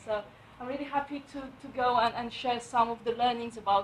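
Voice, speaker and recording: A woman with a Romanian accent talks at a moderate pace. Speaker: property investor and letting agent. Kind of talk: book review talk at networking event. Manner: halting, many fillers.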